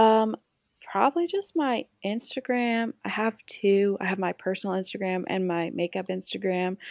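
A woman speaks with medium pitch and ordinary pitch variation at a moderate pace. It is a normal speaking voice. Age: 20s. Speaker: esthetician and makeup artist. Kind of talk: interview.

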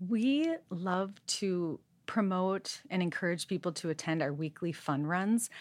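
A woman with an American accent and an unremarkable speaking voice talks at medium pitch with ordinary pitch variation against a quiet background. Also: fairly slow pace. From Minnesota. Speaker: running club executive director. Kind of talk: interview.

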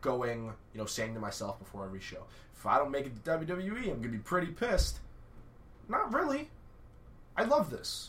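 A man speaks with long, frequent pauses and big swings in loudness, over noticeable background noise and audible room echo. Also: moderate pace. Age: 20s. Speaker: pro wrestler. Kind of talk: casual chat. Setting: studio.

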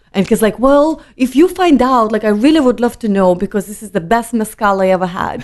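A woman with a Lithuanian accent, fairly high-pitched and fairly quick, lively in intonation, with big swings in loudness and hardly any pauses. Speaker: wine importer. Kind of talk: casual interview chat.

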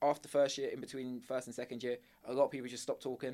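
Speaking in an English accent, a man keeps a monotone, flat intonation at a medium pitch. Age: 20s. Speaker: university student. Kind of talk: casual chat.

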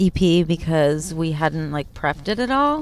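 Against noticeable background noise, a woman speaks at a fairly slow pace with very wide pitch swings. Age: 30s. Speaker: country singer. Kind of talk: casual chat. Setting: restaurant.

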